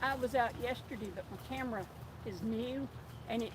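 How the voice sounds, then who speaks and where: Someone speaks at a moderate pace with an Appalachian accent. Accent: Appalachian Southern US. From mountains of North Carolina. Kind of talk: casual chat.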